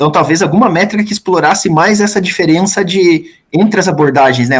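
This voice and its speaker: A man at a very fast pace. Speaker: thesis examiner professor. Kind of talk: thesis defense questioning. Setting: university thesis defense.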